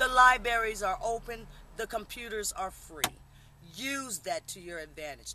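The speech moves at a fairly slow pace with lively intonation, recorded with a dry sound with no echo and light background noise. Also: woman. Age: 50s. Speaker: military veteran. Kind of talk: casual interview; informal street interview talk. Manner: animated; halting with repetitions. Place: street. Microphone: camera far.

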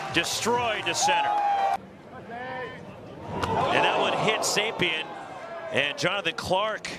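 Over noticeable background noise, a man with a high pitch speaks very slowly with lively intonation and long, frequent pauses. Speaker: baseball commentator. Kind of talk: live commentary. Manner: excitable.

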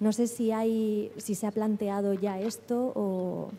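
Soft-spoken and monotone with flat intonation, a woman speaks at a fairly high pitch in a dark, mellow tone over light background noise. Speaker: lawyer at an NGO, audience member asking a question; lawyer at an NGO, audience member. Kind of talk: audience question at a seminar. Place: hall.

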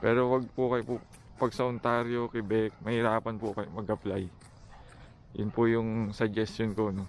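A man's monotone, flat intonation holds through delivery at a moderate pace. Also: medium pitch for a man. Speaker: vlogger, engineer job seeker. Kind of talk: casual vlog talk. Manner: halting, many fillers.

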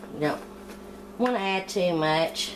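A woman's fairly low-pitched voice with ordinary pitch variation, over noticeable background noise. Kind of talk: tutorial. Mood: relaxed, friendly. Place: kitchen.

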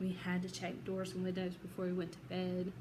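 A woman's somewhat breathy, medium-pitched voice in a Southern US accent, at a moderate pace over noticeable background noise. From Georgia, USA. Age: 30s. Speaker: psychology student. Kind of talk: self-introduction for class. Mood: earnest, emotional personal story. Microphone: phone near.

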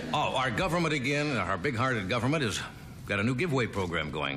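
A man's voice swings very widely in pitch over light background noise. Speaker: talk show host. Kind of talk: comedy monologue. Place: stage.

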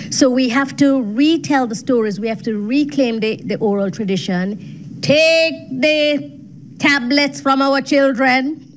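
A woman speaks at a fairly slow pace in a high pitch with lively intonation. There is light background noise. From Jamaica. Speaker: gender studies professor. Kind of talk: panel discussion. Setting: video call. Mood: earnest, persuasive. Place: meeting room. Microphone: studio mic.

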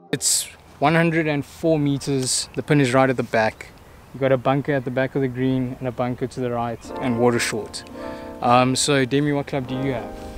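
At a moderate pace, a man speaks in a monotone, flat way, with a dry sound with no echo and faint music in the background. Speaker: golf channel host. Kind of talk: casual vlog chat. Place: open country.

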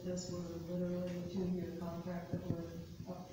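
Loud background noise and audible room echo surround a woman's voice. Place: meeting room. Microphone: camera far.

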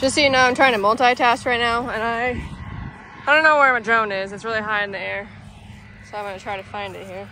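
A woman at a fairly quick pace, fairly high in pitch with a bright, sharp tone, over faint background noise. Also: fairly even intonation.

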